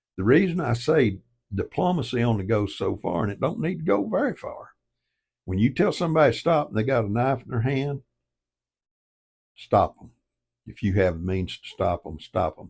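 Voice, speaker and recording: A man with a Southern US accent speaks at a moderate pace in a medium, somewhat breathy voice, pausing long and often. His pitch swings very widely, and the recording is very clean with a silent background. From US South. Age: 70s. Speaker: online commentator. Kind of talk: casual monologue. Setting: home office by fireplace. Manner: emphatic.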